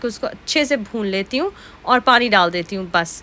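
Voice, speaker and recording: Her pitch is high. The woman talks at a moderate pace. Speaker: vlogger. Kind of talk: casual vlog narration.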